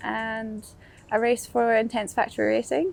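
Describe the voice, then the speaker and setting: The speaker talks in a Scottish accent over music in the background. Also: woman. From Fort William, Scotland. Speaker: downhill mountain bike racer. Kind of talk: interview answer. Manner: casual, cheerful.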